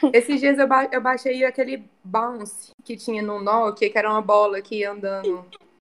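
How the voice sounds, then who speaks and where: With an ordinary speaking voice, a woman talks at a moderate pace and fairly high pitch, her intonation fairly even, hardly any pauses, and big swings in loudness. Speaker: journalist and tourism worker. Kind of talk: casual chat.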